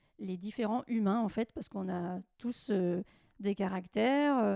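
Dark and mellow in tone, a woman speaks at a fairly slow pace with ordinary pitch variation on a very clean recording with a silent background, the sound dry and close with no echo. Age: 40s. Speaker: cooperative entrepreneur and association volunteer. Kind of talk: casual interview. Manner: halting, many fillers.

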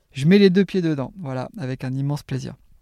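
A man speaks in a fairly high voice with a dark, mellow tone. The very clean recording has a silent background and a dry, close sound with no echo. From Normandy, France. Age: 40s. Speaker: canicross champion athlete. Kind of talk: interview. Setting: at the guest's home.

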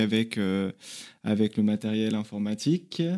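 On a very clean recording with a silent background, a man with a dark, mellow tone talks at a fairly slow pace using ordinary pitch variation. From Paris region, France. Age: 30s. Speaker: traveller, former restaurant worker. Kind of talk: interview testimony. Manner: hesitant, many fillers.

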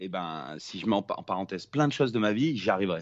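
A man with an ordinary speaking voice talks at a fairly quick pace, his intonation lively. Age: 30s. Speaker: film director, former pro snowboarder. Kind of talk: casual interview.

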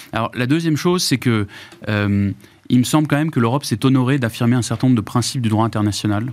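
Speaking at a fairly quick pace, a man has an unremarkable speaking voice, medium pitch and ordinary pitch variation. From Germany. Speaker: former minister, lawyer. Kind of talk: panel discussion.

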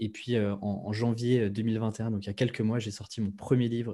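A man speaks in a monotone with flat intonation, his pitch fairly low and his tone dark and mellow. The pace is moderate and the background quiet. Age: 20s. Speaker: copywriter and podcaster. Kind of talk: interview.

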